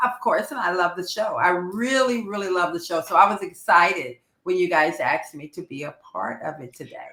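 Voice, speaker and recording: Her voice is an unremarkable speaking voice, medium-pitched for a woman, with lively intonation and big swings in loudness. She talks at a fairly quick pace with hardly any pauses. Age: 60s. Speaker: radio host guest. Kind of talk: casual chat.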